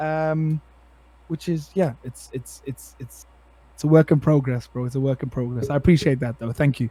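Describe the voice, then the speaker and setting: A man speaks in an animated tone at a fairly quick pace. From South Africa. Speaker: part-time streamer. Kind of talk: casual chat. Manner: loud.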